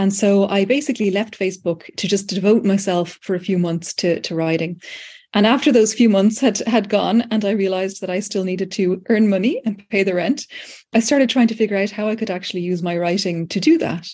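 Against a quiet background, a woman with a medium pitch and a dark, mellow, somewhat breathy tone talks at a fairly quick pace with ordinary pitch variation. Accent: Dublin. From Ireland, Dublin. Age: 40s. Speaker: writer, lecturer and AI tool co-creator. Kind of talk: interview conversation.

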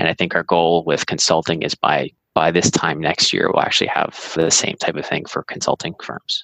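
In an American accent, a man speaks at a moderate pace with a very deep, low pitch, monotone, flat intonation, vocal fry and a bright, sharp tone, in a dry, close sound with no echo. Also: hardly any pauses. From US Northeast, Massachusetts (Andover, north of Boston). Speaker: website founder and former investment banker. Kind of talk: interview.

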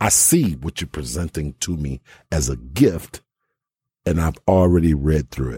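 A man's very deep, low voice with a dark, mellow tone, somewhat breathy, with ordinary pitch variation, a fairly slow pace and a dry, close sound with no echo. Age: 40s. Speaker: podcast host. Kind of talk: casual chat.

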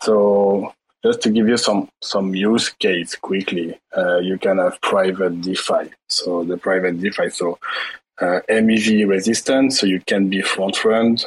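This man has a plain, everyday voice, fairly low in pitch, with fairly even intonation and a fairly slow pace. The sound is dry and close, with no echo. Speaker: blockchain project team member. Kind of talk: pitch and discussion.

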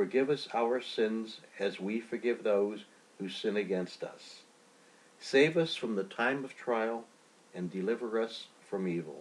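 With a plain, everyday voice, a man speaks at a fairly slow pace, his medium pitch carried by lively intonation. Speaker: bishop leading prayer. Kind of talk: liturgical noon prayer, read aloud. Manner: formal, measured, reverent; slow, solemn, even pacing.

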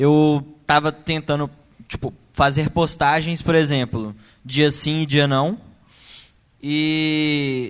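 On a very clean recording with a silent background, a man speaks at a very slow pace with a fairly high pitch. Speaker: audience member asking a question. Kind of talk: audience question.

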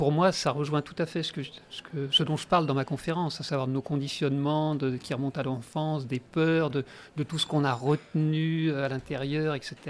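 Pitched fairly high, a man talks in a flat monotone. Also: moderate pace. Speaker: speaker and game facilitator. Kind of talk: radio interview. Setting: radio studio.

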